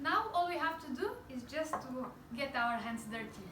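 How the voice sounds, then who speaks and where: Through noticeable background noise and audible room echo, a woman speaks at a high pitch with ordinary pitch variation. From Bulgaria. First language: Bulgarian. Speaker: cooking channel host. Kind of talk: cooking tutorial. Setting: home kitchen.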